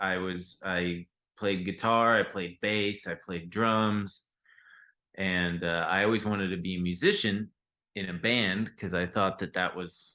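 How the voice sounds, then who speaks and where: A man with a very deep, low pitch speaks in a bright, sharp tone at a fairly slow pace. His intonation is monotone and flat against a quiet background. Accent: Californian. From US West Coast, Long Beach, California. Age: 30s. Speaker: stock trader and podcast co-host. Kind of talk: casual interview chat. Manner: halting, many fillers and restarts.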